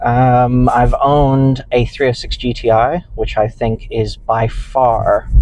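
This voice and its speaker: A man with a British accent speaks at a very slow pace with hardly any pauses. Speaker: car reviewer. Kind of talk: owner's car review to camera. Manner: hesitant, many fillers. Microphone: cheap lapel mic accentuating nasality.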